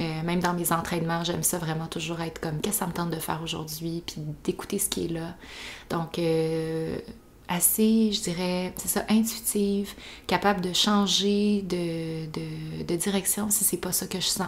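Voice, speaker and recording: Against noticeable background noise, a woman in a Quebec accent speaks at a fairly slow pace with a fairly low pitch and fairly even intonation. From Quebec, east Montreal. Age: 20s. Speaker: podcast host. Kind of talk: casual monologue.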